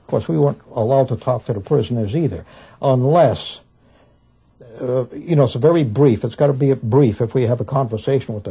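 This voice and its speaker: A man talks at a fairly quick pace with ordinary pitch variation. His voice is somewhat breathy, with a dark, mellow tone. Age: 60s. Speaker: war veteran, former prison guard. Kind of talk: interview storytelling.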